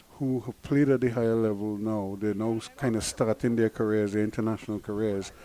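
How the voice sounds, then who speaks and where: This man has a dark, mellow tone. He speaks with a Guyanese accent. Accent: variation of Guyanese. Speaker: cricket commentator. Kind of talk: live commentary.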